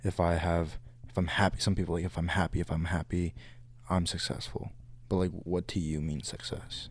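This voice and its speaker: Marked by vocal fry, the speech moves at a fairly quick pace with fairly even intonation. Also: man, very deep, low pitch for a man. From California. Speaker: college student podcast co-host. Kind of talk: casual chat.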